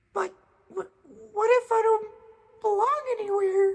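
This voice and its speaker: Someone performs a put-on character voice at an extremely high pitch. The pace is moderate. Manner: timid, hesitant.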